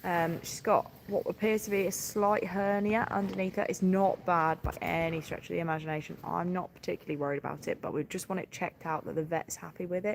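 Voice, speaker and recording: A woman speaks at a fairly quick pace with a southeast English accent and a fairly low pitch. There is noticeable background noise. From southeast England, Sussex. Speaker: farmer. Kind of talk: livestream chat with viewers. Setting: livestream on farm, calving watch. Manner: animated.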